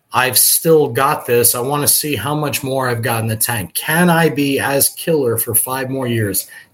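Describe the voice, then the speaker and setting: With an American accent, a man has an unremarkable speaking voice at medium pitch with ordinary pitch variation. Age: 30s. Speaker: professional bowler. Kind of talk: casual chat.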